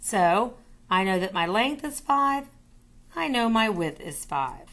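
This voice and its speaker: A woman speaks at a very slow pace in a fairly high pitch, her voice swinging very widely up and down against a quiet background. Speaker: math teacher. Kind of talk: tutorial.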